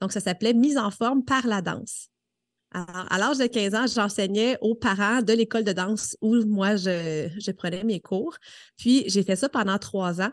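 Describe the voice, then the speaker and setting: A woman in a plain, everyday voice, fairly slow pace and ordinary pitch variation, against a quiet background. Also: medium pitch for a woman. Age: 30s. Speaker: fitness coach. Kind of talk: casual chat.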